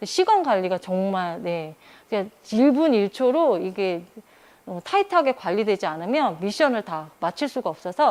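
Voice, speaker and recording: Very wide pitch swings from a woman at a medium pitch, talking at a moderate speed. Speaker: digital citizenship instructor training other instructors. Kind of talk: instructor training lecture.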